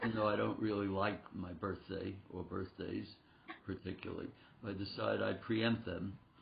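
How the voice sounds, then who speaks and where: Noticeable background noise surrounds a man speaking at a moderate pace. His fairly low voice stays monotone and flat. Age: 80s+. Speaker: concert pianist and piano teacher. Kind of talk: interview.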